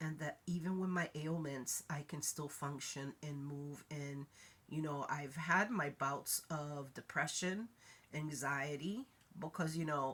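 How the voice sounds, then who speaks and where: Very deep and low in pitch, a woman's voice moves at a fairly slow pace. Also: ordinary pitch variation. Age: 60s. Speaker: vlogger. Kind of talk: casual chat. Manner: halting.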